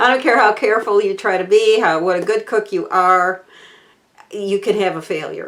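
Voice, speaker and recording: A woman speaks with a Southern US accent in a fairly high pitch. Her pitch variation is ordinary. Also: moderate pace. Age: 60s. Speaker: cooking channel host. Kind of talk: casual chat to camera. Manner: halting, many fillers.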